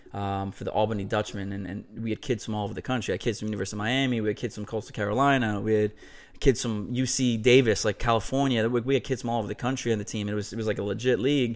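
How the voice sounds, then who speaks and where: A man with an American accent, very fast, at a fairly low pitch, with fairly even intonation. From New York (Westchester). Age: 30s. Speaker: former college baseball player, CrossFit athlete. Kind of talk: casual interview.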